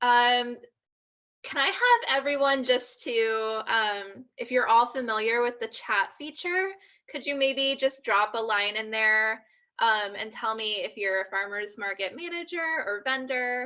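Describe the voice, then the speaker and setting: A woman's bright, sharp tone at a fairly slow pace, with ordinary pitch variation. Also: quiet background. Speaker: social media trainer. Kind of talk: online workshop presentation. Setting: video call from home. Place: home room. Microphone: webcam.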